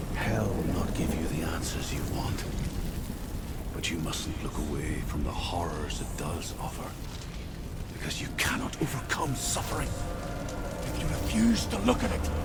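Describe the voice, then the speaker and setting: Over loud background noise, a man puts on a character voice at a moderate pace. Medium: game stream. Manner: intense, haunting.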